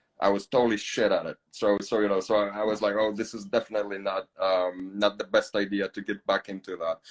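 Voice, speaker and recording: A man speaks with a Polish accent at a fairly quick pace in a monotone, flat intonation. The sound is dry and close with no echo. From Poland. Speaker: podcast host. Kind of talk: casual chat. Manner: halting, many fillers.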